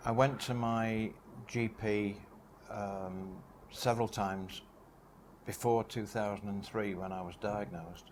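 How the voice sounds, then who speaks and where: A man with a Manchester accent talks at a fairly slow pace with fairly low pitch. He leaves long, frequent pauses, and his intonation is fairly even. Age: 70s. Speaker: cancer patient. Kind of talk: testimony.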